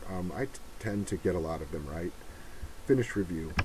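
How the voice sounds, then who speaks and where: A quiet, mumbling man with a somewhat breathy voice. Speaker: humanitarian mapping volunteer. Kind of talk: screen-recorded tutorial walkthrough. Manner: mumbling, quiet.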